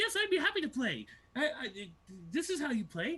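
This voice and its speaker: A put-on character voice, high-pitched and fairly quick, with very wide pitch swings. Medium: actual play. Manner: boastful, repetitive, game-obsessed.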